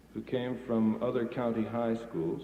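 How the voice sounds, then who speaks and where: A man talks in a plain, everyday voice. His pitch is medium, and his pace is moderate. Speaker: radio announcer, master of ceremonies. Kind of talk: radio broadcast introduction.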